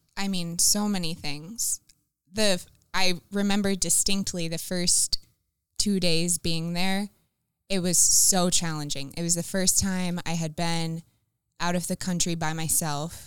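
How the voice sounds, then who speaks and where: A woman with an American accent speaks at a fairly slow pace in a fairly low pitch, her intonation flat and monotone. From Florida. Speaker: campus missionary. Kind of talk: casual interview.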